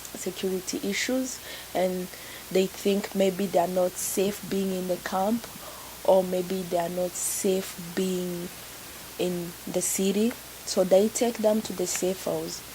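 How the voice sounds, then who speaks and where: Over noticeable background noise, a woman with a medium pitch speaks very slowly with fairly even intonation. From Congo, later Burundi and Kenya. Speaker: refugee. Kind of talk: personal testimony interview. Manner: repetitive, halting.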